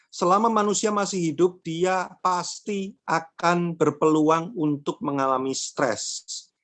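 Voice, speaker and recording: Speaking with a Javanese accent, a man uses a high voice at a very slow pace with hardly any pauses. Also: ordinary pitch variation, quiet background. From Java, Indonesia (Madiun, East Java). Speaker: workshop speaker on mental health. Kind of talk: online workshop talk. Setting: online event. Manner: casual, conversational.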